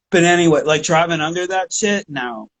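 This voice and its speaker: A man in a Pittsburgh accent at a moderate pace, with ordinary pitch variation. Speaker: podcast host. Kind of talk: casual chat.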